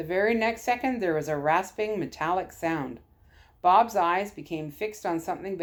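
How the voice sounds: A natural reading voice. Nothing more stands out.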